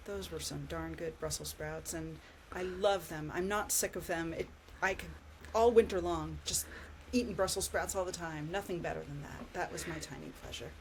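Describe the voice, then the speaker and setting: This woman speaks with an American accent at a moderate pace. Her loudness swings widely from moment to moment. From California, US. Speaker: podcast co-host, researcher. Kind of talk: casual chat.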